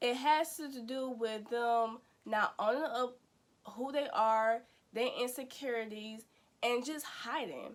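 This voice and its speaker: Here a woman speaks with an American accent. Her pitch is high, with ordinary pitch variation. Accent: country-sounding speech. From US Midwest. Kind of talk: casual inspirational vlog talk. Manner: conversational with frequent fillers and repetitions.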